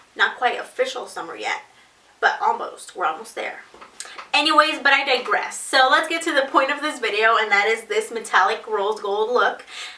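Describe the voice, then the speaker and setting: Over noticeable background noise, a woman speaks at a high pitch and a moderate pace, her pitch swinging very widely. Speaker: beauty vlogger. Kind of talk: makeup tutorial. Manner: soft-spoken.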